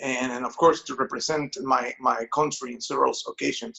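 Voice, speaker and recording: A man with a Spanish accent at a moderate pace. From Mexico. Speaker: songwriter and musician. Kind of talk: interview.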